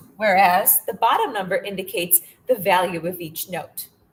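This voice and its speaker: A woman with an ordinary speaking voice talks at a moderate pace in a medium pitch, showing ordinary pitch variation. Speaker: music teacher. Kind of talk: lecture. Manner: casual, filler-heavy.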